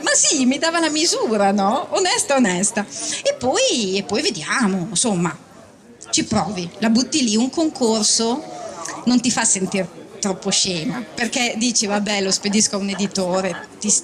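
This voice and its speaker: Over noticeable background noise, a woman speaks with lively intonation at a fairly high pitch and a moderate pace. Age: 50s. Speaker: novelist. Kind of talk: public book talk. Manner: conversational, self-deprecating.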